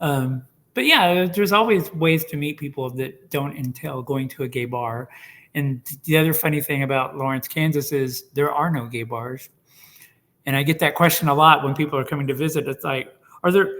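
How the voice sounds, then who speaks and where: With an American accent and an ordinary speaking voice, a man talks at a moderate pace in a fairly high pitch with ordinary pitch variation. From Oklahoma (Tulsa). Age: 60s. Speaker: oral history interviewee. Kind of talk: casual interview conversation. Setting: video call.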